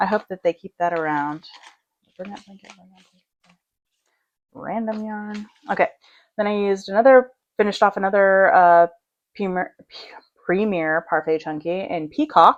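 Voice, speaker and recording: The speech moves at a moderate pace with ordinary pitch variation and long, frequent pauses, in a dry, close sound with no echo. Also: woman, medium pitch for a woman. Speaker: crochet youtuber and small business maker. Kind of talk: casual vlog chat. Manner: loud. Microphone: mic close to speaker.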